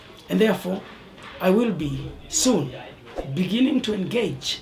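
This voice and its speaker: A high-pitched man's lively intonation at a fairly slow pace, with audible room echo and noticeable background noise. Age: 60s. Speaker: bishop. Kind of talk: birthday address.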